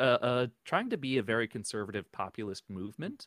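An ordinary speaking voice: a man with an American accent talks at a moderate pace with ordinary pitch variation. The sound is dry and close with no echo, on a very clean recording with a silent background. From New Jersey. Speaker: podcaster, tech worker, Air Force veteran. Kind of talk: casual interview.

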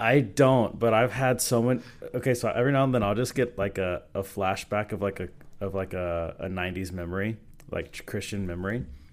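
With an American accent, an unremarkable speaking voice moves at a fairly quick pace with ordinary pitch variation. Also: man, fairly low pitch for a man. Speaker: pastor. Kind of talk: casual chat.

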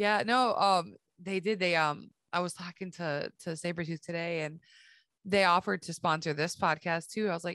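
This is a woman with an ordinary speaking voice. She talks at a moderate pace with a fairly low pitch. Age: 40s. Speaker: podcast host. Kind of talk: casual chat.

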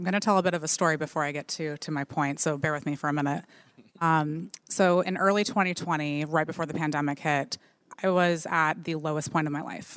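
Speaking at a fairly quick pace, a woman has a very deep, low pitch and fairly even intonation. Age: 30s. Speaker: marketing executive and content creator. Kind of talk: live panel discussion. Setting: stage with audience.

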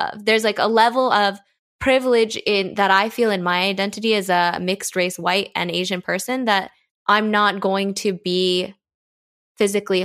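A plain, everyday voice with an American accent speaks at a moderate pace and with fairly even intonation. The recording is very clean, with a silent background. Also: woman. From United States. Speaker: diversity and inclusion trainer, podcast co-founder. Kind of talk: casual interview discussion.

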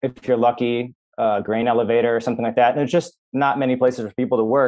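With an American accent, a man talks in an ordinary speaking voice at medium pitch, with fairly even intonation and a moderate pace. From Minnesota, US Midwest. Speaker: journalist and author. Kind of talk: interview conversation.

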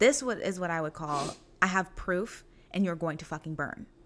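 A woman's fairly low voice with vocal fry, lively intonation and a moderate pace, on a very clean recording with a silent background. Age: 20s. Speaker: podcast host. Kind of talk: casual chat. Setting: dining room at home.

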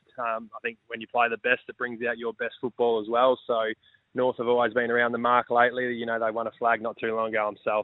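A man speaks with an Australian accent at a medium pitch. His delivery is fairly quick and flat, in a monotone. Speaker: football club captain. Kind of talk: radio interview. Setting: phone call.

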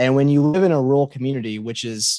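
Over a quiet background, a man speaks at a medium pitch with ordinary pitch variation in a dry, close sound with no echo. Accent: Kentucky Appalachian. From Muhlenberg County, Kentucky. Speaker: middle school teacher and writer. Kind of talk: casual interview chat.

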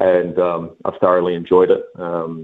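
The speaker has a New Zealand accent. The pace is fairly slow. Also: man. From Auckland, New Zealand. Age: 20s. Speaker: basketball coach. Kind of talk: interview.

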